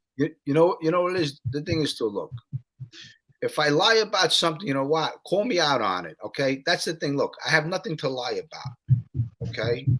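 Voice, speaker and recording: With a New York accent, a man with a fairly high voice talks at a fairly quick pace. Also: lively intonation. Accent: New York accent, mistaken for Boston. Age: 50s. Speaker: YouTube storyteller, ex-mobster. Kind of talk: casual chat.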